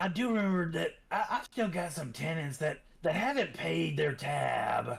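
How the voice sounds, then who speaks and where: A man puts on a raspy character voice. It sits fairly high in pitch and moves at a moderate pace. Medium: actual play. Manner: folksy, familiar.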